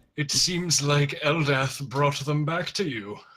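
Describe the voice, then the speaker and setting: A put-on character voice from a man, pitched fairly high and paced fairly slowly. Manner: smug.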